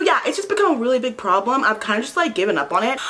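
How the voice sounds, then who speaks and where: Over noticeable background noise, a woman speaks with very wide pitch swings. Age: 20s. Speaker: beauty vlogger. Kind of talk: casual chat.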